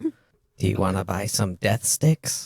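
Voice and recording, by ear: A put-on character voice sits low in pitch. It moves at a fairly slow pace.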